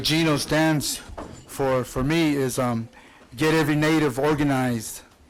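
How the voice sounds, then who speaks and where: Against noticeable background noise, a man with an American accent speaks at a fairly slow pace in a fairly high pitch, with fairly even intonation and very even loudness. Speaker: student and spoken word musician. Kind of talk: speech at a dinner. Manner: halting, many repetitions and fillers.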